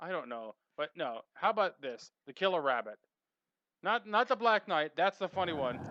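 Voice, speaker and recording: With a Boston accent, a man speaks in a high pitch with very wide swings and a bright, sharp tone, recorded dry and close with no echo in a quiet background. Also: moderate pace. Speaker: radio show co-host. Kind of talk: casual chat. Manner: animated.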